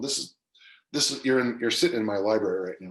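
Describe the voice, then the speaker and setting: A man talks at a fairly quick pace. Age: 60s. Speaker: strength coach and author. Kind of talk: podcast interview. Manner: animated.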